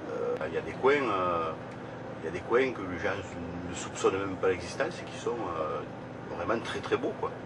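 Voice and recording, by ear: With clear background noise behind him, a man speaks at a low pitch and moderate pace with lively intonation.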